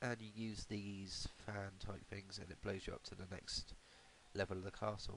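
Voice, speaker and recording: A man speaks with a British accent at a fairly low pitch. His intonation stays monotone and flat. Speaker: retro game reviewer. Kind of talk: casual game review voice-over. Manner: hesitant, many fillers.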